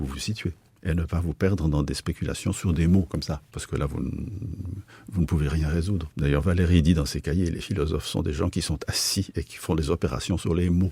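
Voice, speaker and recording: Speaking at a fairly quick pace, a man with a very deep, low pitch and a dark, mellow tone sounds somewhat breathy, his intonation fairly even. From Switzerland, Basel. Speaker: philosopher and sinologist. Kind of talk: radio interview. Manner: halting, with frequent hesitations.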